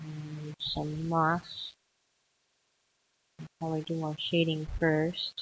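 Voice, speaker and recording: Speaking at a very slow pace with long, frequent pauses, a woman uses a very deep, low pitch in a flat monotone that is somewhat breathy. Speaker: let's play drawing video creator. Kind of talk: casual commentary while drawing.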